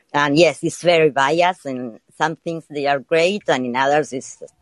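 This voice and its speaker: A woman speaks at a moderate pace with a very deep, low pitch. Her pitch varies in an ordinary way, and the sound is dry and close with no echo. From Argentina. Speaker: caller. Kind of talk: casual call-in chat.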